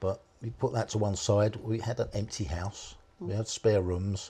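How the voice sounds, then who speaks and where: In a very clean recording with a silent background, a man with a British accent speaks in a dark, mellow tone that is somewhat breathy. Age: 60s. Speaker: foster carer. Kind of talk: interview.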